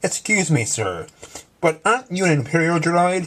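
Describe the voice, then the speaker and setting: A man puts on a character voice with a high pitch. He speaks at a moderate pace. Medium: read story. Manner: fussy, polite.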